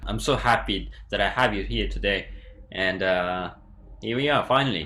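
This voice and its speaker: Recorded with audible room echo, a man speaks at a moderate pace with big swings in loudness. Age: young. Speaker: YouTube interviewer. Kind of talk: interview.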